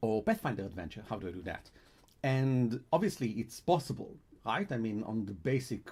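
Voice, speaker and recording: A man with a non-native accent, somewhat breathy, at a medium pitch and moderate pace with lively intonation. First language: Hebrew. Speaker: game editor and translator. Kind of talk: live stream talk. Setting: live stream. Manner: halting, with restarts.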